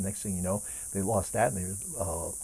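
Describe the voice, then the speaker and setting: Speaking at a very fast pace, a man uses a dark, mellow, somewhat breathy tone at a fairly low pitch. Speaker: age management coach. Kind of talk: casual talk to camera.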